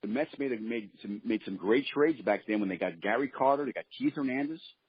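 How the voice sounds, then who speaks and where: A man with a New York accent speaks at a very fast pace. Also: medium pitch for a man, ordinary pitch variation. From Brooklyn, New York City. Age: 60s. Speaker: former baseball pitcher. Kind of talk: interview.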